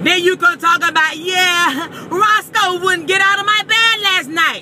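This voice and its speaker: A woman speaks in a raised, projected voice at a moderate pace with ordinary pitch variation. Light background noise is present. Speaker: vlogger. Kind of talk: casual vlog rant. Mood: comic indignation. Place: car. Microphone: phone near.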